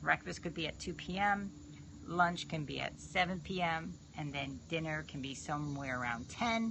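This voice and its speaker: In an American accent, a woman with a very deep, low pitch and vocal fry speaks at a moderate pace with lively intonation. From New York. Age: 50s. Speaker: fitness trainer. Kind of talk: live stream chat. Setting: live video stream.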